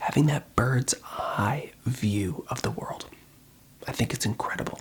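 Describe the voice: Whispering at a fairly slow pace, the voice carries a husky, rough edge.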